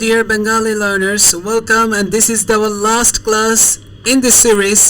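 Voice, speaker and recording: Someone with a Bangladeshi accent speaks at a fairly slow pace amid noticeable background noise. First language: Bengali. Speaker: language tutor. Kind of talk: language lesson.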